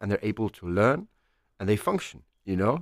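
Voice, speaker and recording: In an Icelandic accent, a man speaks on a very clean recording with a silent background, the sound dry and close with no echo. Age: 30s. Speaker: chef. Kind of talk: casual interview.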